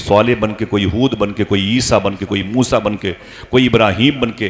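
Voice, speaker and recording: Against noticeable background noise, a man speaks at a fairly low pitch with ordinary pitch variation. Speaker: Islamic preacher. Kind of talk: religious sermon. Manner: impassioned, emphatic.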